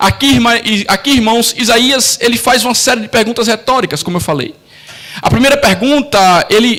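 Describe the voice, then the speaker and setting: With a Brazilian accent, a man speaks at an extremely high pitch with ordinary pitch variation over noticeable background noise. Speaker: pastor. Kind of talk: sermon. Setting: church.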